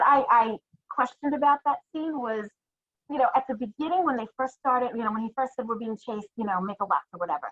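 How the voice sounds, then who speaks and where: This speaker has a New York accent. The delivery is very fast, with lively intonation. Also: woman. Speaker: listener co-host. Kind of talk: casual chat.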